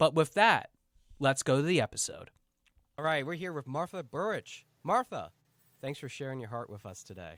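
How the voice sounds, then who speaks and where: Recorded very cleanly with a silent background and a dry, close sound with no echo, a man with a fairly high pitch and vocal fry talks at a moderate pace, with very wide pitch swings, big swings in loudness, and long, frequent pauses. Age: 30s. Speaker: podcast host and coach. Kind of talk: podcast interview.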